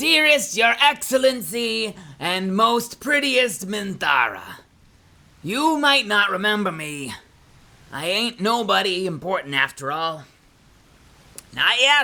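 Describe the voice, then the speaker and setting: Using a put-on character voice at a high pitch, a man talks with long, frequent pauses. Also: fairly slow pace. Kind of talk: crude, simple, ungrammatical. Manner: humble, eager.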